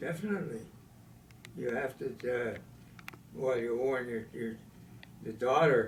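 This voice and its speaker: A man at medium pitch with ordinary pitch variation, a fairly slow pace and long, frequent pauses, amid noticeable background noise. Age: 80s+. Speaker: war veteran. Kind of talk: interview answer.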